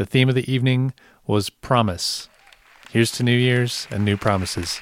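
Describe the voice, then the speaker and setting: With crowd noise in the background and a dry, close sound with no echo, a man speaks at medium pitch and a moderate pace, his loudness very even and his pauses long and frequent. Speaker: podcast host. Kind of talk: scripted intro and outro. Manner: upbeat, conversational.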